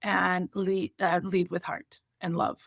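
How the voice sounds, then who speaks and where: With an Albanian accent, a woman speaks at a medium pitch in a dry, close sound with no echo. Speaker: college volleyball coach. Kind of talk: interview.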